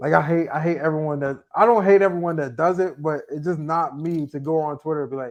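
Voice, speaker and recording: Talking at a very fast pace with an American accent, the speaker uses ordinary pitch variation. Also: man, fairly high pitch for a man. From US Northeast. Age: 20s. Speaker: sports media editor. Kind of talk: podcast interview. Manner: halting.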